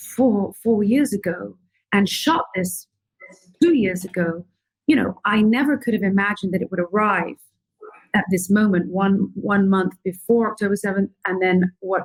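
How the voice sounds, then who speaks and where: A woman's somewhat breathy voice at medium pitch, with ordinary pitch variation and a moderate pace. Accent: British. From London, England. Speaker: filmmaker. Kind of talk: interview answer.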